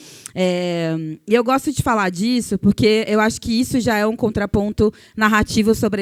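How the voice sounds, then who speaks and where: In a dry, close recording with no echo, a woman with an unremarkable speaking voice talks at a moderate pace, her fairly high pitch varying in an ordinary way. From Brazil, Cuiabá, Mato Grosso. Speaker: journalist and communicator. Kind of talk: panel discussion talk.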